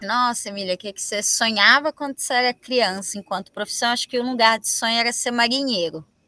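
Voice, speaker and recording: A woman's bright, sharp voice moves at a moderate pace with ordinary pitch variation. The recording is very clean, with a silent background. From Minas Gerais, Brazil (Mariana). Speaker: dance artist. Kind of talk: documentary interview.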